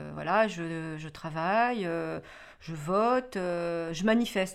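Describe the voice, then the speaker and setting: Using a normal speaking voice, the woman talks at a medium pitch with ordinary pitch variation. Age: 40s. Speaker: mother of interviewee. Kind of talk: documentary interview.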